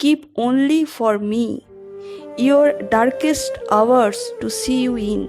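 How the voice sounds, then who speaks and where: Over music in the background, a woman talks at a very slow pace with ordinary pitch variation. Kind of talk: poetry reading.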